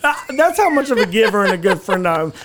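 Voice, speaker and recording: In an Alabama accent, a man speaks with an animated tone and high pitch. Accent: Southern US (Alabama). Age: 20s. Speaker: podcast host. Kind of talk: casual chat.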